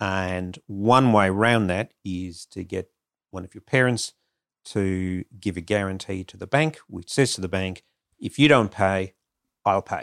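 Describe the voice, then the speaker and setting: In an Australian accent, a man speaks at a fairly slow pace with big swings in loudness. The recording is very clean, with a silent background. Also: fairly low pitch for a man, ordinary pitch variation, dry, close sound with no echo. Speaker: financial adviser. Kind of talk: advice segment.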